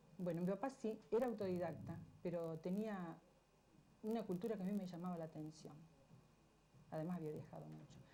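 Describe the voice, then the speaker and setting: A woman talks at a fairly quick pace but leaves long, frequent pauses. Her fairly low voice has a dark, mellow tone and ordinary pitch variation. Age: 60s. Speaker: interviewee. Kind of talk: television interview.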